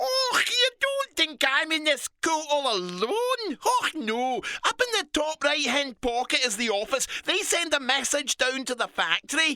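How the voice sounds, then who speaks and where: This man uses a put-on character voice in a Scottish accent at an extremely high pitch. He keeps a moderate pace. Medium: read story. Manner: chatty, friendly, brisk.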